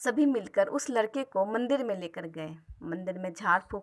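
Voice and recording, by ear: With lively intonation, this clip features reading aloud in a natural voice.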